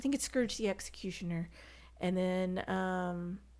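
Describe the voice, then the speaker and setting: A woman with a Southern US accent on a very clean recording with a silent background. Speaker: podcast guest, comics fan. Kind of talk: casual chat. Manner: animated.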